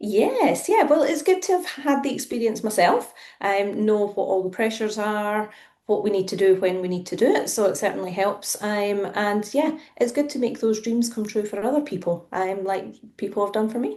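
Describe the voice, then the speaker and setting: Here is a woman with a Scottish accent. Her pitch is fairly high and her intonation is lively. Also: moderate pace. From central Scotland. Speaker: property relocation manager. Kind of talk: podcast interview.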